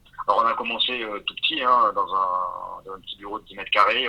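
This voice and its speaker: The speech comes at a fairly quick pace. Noticeable background noise is present. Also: man. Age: 40s. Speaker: entrepreneur. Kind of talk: interview. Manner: hesitant, many fillers.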